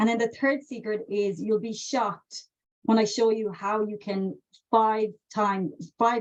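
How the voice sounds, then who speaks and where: With an Irish accent, a woman speaks at a moderate pace in a fairly high voice over a quiet background. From west of Ireland, County Mayo. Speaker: customer success consultant and trainer. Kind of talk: webinar presentation. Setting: live webinar video call. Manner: conversational, many fillers.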